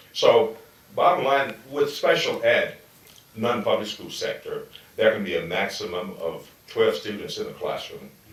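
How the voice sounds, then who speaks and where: A man talks at a fairly slow pace. There is audible room echo and noticeable background noise. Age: 60s. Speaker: school founder. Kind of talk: interview.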